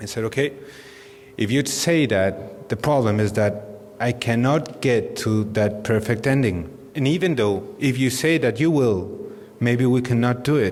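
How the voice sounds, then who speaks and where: Moderately paced speech in a Spanish accent, very even in loudness and ordinary in pitch variation, with noticeable background noise and audible room echo. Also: man, medium pitch for a man. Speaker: dentist. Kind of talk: lecture. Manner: halting.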